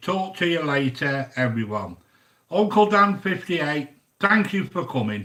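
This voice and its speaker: The man's tone is bright and sharp, with very wide pitch swings. He speaks at a fairly slow pace. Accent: British. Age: 60s. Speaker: YouTube cooking host. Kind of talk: casual live-stream chat reading viewer comments. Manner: chatty, hesitant with fillers.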